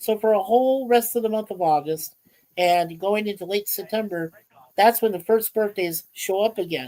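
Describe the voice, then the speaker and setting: Lively intonation runs through this man's speech, which moves at a moderate pace. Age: 60s. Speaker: livestream host. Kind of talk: casual chat. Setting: livestream.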